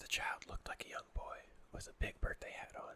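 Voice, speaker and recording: Someone whispers at a fairly quick pace. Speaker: ASMR narrator. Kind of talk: horror story reading. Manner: whispered.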